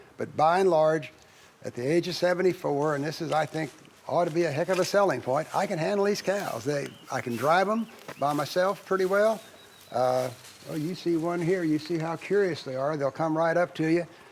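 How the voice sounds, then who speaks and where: Over noticeable background noise, a man talks at a fairly quick pace with a fairly high pitch and ordinary pitch variation. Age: 70s. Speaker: cattle farmer. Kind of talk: testimonial interview.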